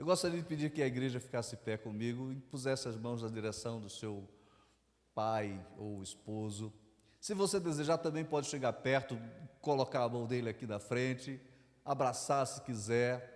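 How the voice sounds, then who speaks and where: A man at medium pitch with a northeastern Brazilian accent, moderate pace and ordinary pitch variation. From Northeast Brazil, João Pessoa, Paraíba. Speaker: pastor. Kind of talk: sermon. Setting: church service with congregation.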